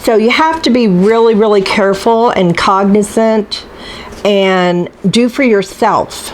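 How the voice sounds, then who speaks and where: A woman with a fairly high pitch and ordinary pitch variation speaks at a fairly slow pace and very even loudness. Noticeable background noise is present. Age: 60s. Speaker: cooking channel host. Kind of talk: casual vlog talk to camera. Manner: halting, with many fillers.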